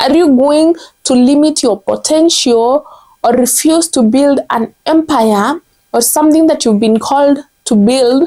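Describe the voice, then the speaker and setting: A woman with a Kenyan accent speaks at a fairly slow pace. Her pitch is high. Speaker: content strategist. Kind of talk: motivational commentary to camera.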